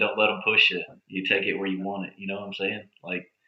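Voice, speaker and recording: With a fairly low pitch, a man speaks at a very fast pace. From Oklahoma. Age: 40s. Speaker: podcast host. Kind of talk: casual chat. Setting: live stream studio. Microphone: laptop mic not picking up, poor sound.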